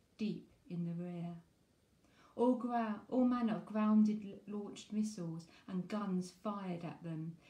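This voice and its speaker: The room echo is audible as a woman speaks at a medium pitch and a fairly slow pace. Her voice is somewhat breathy, with fairly even intonation. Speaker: poetry reviewer and author. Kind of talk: poem reading aloud, performed. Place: home room. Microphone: phone near.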